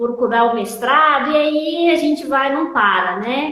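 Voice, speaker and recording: A woman with a Minas Gerais accent, very slow delivery, ordinary pitch variation, and audible room echo. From Minas Gerais, Brazil. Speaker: logistics teacher and consultant. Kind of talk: interview.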